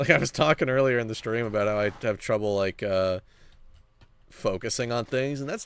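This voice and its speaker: A man speaks with a medium pitch. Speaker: Minecraft streamer. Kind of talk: casual livestream chat while gaming. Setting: livestream, in server voice chat. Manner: fast; scattered, loses train of thought.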